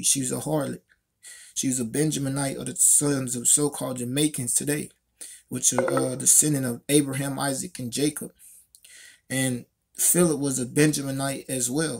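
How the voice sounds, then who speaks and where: The man talks at a moderate pace, his intonation monotone and flat. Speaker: religious commentator. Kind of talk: scripture commentary. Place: home room. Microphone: phone near.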